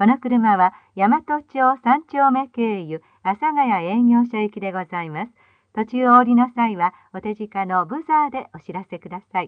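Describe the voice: The woman's voice is fairly high, with lively intonation at a moderate pace. The sound is dry and close, with no echo.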